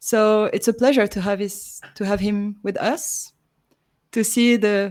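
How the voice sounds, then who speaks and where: A woman talks at a fairly slow pace with a French accent. Her intonation stays fairly even. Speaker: chess commentator. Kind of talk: live commentary.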